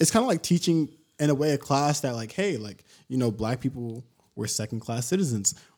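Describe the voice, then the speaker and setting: A man with a plain, everyday voice and an American accent speaks at a medium pitch with lively intonation. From Sacramento, California. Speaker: podcast guest. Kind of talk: casual chat.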